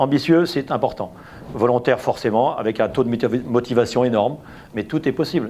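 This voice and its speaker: A man talks at a fairly quick pace with medium pitch. His intonation is lively. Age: 60s. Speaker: business owner. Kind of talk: testimony. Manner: hesitant, with fillers and repetitions.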